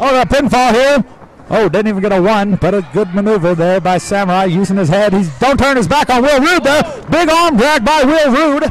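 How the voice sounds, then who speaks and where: Over noticeable background noise, a man with a high pitch sounds animated, his pitch swinging very widely while his loudness stays very even at a fairly quick pace. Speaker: wrestling commentator. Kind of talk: live wrestling commentary. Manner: fast, animated play-by-play calling each move.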